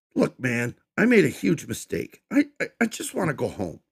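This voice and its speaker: A man's whiny put-on character voice, fairly high in pitch, at a moderate pace, with a dry, close sound and no echo. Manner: whining, fearful.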